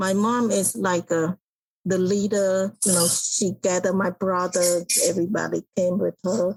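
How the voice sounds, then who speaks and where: A woman talks at a fairly slow pace and medium pitch, with monotone, flat intonation and very even loudness, in a dry, close sound with no echo. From Cambodia. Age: 60s. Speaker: author and public speaker. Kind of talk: interview.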